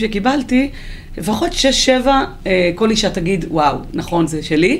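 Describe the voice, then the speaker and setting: A woman speaks at a moderate pace with very wide pitch swings, over noticeable background noise. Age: 40s. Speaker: author and transport executive. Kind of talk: interview. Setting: studio.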